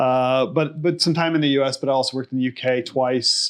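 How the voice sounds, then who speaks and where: A man with an ordinary speaking voice, medium pitch, an American accent, ordinary pitch variation, and a fairly quick pace. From United States. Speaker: bank executive. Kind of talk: interview.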